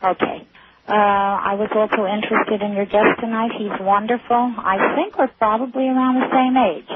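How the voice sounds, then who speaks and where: Over noticeable background noise, a woman speaks at a moderate pace and a fairly high pitch with fairly even intonation. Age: 60s. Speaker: caller. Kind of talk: call-in radio conversation. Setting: phone call. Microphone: caller hears feedback on the line.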